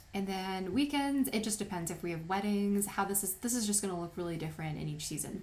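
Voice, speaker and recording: Somewhat breathy and at a medium pitch with ordinary pitch variation, a woman's voice carries audible room echo. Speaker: wedding photographer and tutorial maker. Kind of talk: tutorial.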